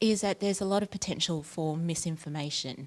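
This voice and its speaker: The recording is very clean, with a silent background. In it, a woman talks with an Australian accent. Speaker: academic researcher. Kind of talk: conference talk. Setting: workshop room with audience.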